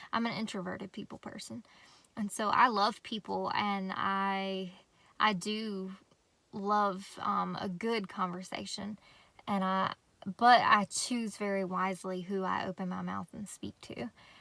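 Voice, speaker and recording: In a Southern US accent, a woman speaks fairly slowly at a medium pitch with a bright, sharp tone, flat monotone intonation and big swings in loudness, on a very clean recording with a silent background. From North Carolina. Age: 30s. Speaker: homestead vlogger. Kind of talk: casual vlog talk. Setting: in a van. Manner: casual, hesitant with fillers.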